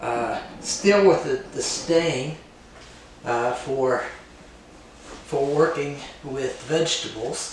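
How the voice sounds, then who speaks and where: Speaking at a very slow pace with long, frequent pauses, a man has a fairly high pitch and ordinary pitch variation, with audible room echo and noticeable background noise. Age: 60s. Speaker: woodworker and retreat host. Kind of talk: casual workshop vlog narration. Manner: halting, many filler words.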